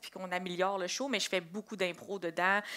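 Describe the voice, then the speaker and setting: Speaking at a very fast pace, a woman has a bright, sharp tone. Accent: Quebec. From Quebec. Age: 20s. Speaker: comedian. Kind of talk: interview.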